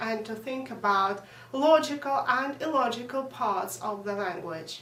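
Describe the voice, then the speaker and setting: A woman's high voice in a Russian accent, fairly slow, with audible room echo and noticeable background noise. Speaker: language teacher. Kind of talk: lesson. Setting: at home.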